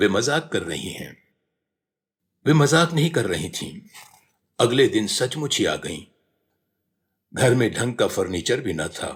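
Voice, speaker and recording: This man has a medium-pitched voice with vocal fry. His pitch swings very widely. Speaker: radio announcer. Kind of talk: autobiography reading.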